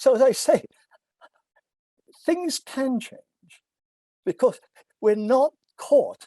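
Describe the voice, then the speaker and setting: A man with an English accent speaks at a very slow pace, his pitch extremely high with ordinary variation and his tone dark and mellow. Long, frequent pauses and big swings in loudness stand out, in a dry, close sound with no echo. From England. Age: 80s+. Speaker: philosophy professor. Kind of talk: lecture.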